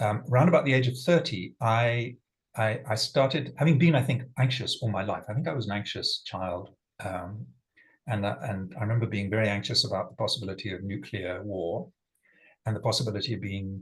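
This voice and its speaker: Somewhat breathy and fairly quick, a man of medium pitch talks with an English accent and ordinary pitch variation. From England. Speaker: sustainability leader and facilitator. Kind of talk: personal talk to online group.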